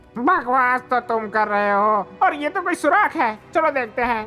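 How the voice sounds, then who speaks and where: A put-on character voice that sounds female, pitched high for a woman, at a fairly quick pace. Music plays clearly in the background. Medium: fan dub. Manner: irritable, blustering.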